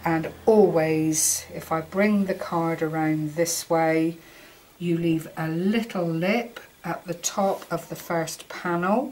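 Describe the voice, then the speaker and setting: A woman with a British accent speaks very slowly at a fairly low pitch, her intonation fairly even. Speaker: craft tutorial maker. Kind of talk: tutorial. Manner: halting, fumbling.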